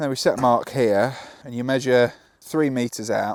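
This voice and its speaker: A man speaks with an English accent at a medium pitch. His pace is fairly slow. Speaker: builder. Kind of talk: casual chat. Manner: downbeat.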